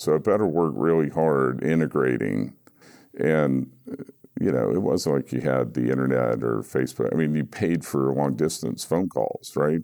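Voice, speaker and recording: With an American accent and vocal fry, the speaker keeps a moderate pace, ordinary pitch variation and very even loudness. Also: man, very deep, low pitch for a man. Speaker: recovery guest sharing story. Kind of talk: interview, personal recovery story.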